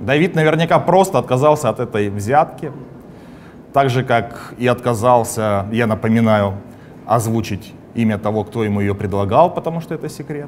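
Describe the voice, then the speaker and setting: At a medium pitch and moderate pace, a man speaks with long, frequent pauses over light background noise. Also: lively intonation. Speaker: comedy show host. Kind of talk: satirical show monologue and interview. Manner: animated, sarcastic. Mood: sarcastic, ironic. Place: studio.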